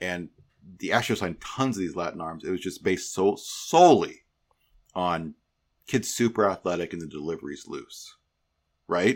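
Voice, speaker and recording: On a very clean recording with a silent background, a man speaks at a moderate pace with long, frequent pauses. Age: 50s. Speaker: podcast host, former baseball executive. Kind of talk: casual chat.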